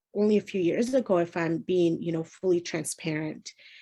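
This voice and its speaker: This is a woman speaking. Her pitch is fairly low. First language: not English. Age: 30s. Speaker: emotional wellness consultant. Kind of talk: interview.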